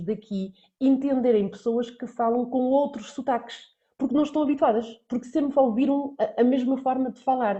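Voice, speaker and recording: The woman's voice sits high in pitch with ordinary pitch variation. She talks at a moderate pace. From central Portugal. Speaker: Portuguese language teacher. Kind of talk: online lesson.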